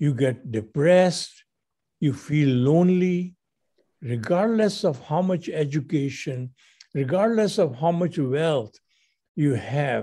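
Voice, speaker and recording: A man with a fairly high pitch and a dark, mellow tone speaks at a very slow pace with long, frequent pauses. His somewhat breathy voice holds a very even loudness. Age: 80s+. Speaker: radio show host. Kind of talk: casual chat.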